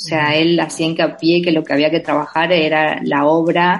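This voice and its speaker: The speech runs at a moderate speed, its intonation staying fairly level. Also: woman. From Argentina, Entre Ríos province (Villa Elisa). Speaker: novelist. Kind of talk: interview. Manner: halting, many repetitions and fillers.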